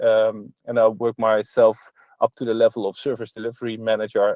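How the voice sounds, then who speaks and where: Speaking at a fairly quick pace, a man talks with a Dutch accent. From Netherlands, Nijmegen. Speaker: entrepreneur and conference speaker. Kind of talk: online conference talk. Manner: halting, many filler sounds.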